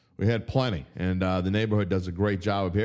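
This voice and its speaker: With a New Orleans accent and an animated tone, a man talks at a fairly quick pace in a fairly low pitch on a very clean recording with a silent background. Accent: New Orleans Yat. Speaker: sports betting writer and podcast host. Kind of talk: casual sports talk show. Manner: animated, opinionated.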